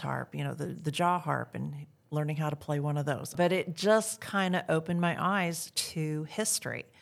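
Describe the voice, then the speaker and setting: A woman with a Midwestern US accent at a moderate pace on a very clean recording with a silent background. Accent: General American, Midwestern. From US Midwest, Iowa. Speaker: living historian. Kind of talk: interview.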